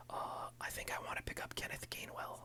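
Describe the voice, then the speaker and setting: Whispering comes at a fairly quick pace. Noticeable background noise sits behind it. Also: man. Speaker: ASMR and fantasy football content creator. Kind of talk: casual talk to camera. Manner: whispered.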